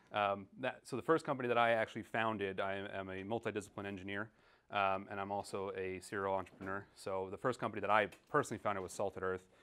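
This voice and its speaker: A man talks at a very fast pace. His pitch sits fairly low. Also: fairly even intonation. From New York. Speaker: engineer and entrepreneur. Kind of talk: conference talk.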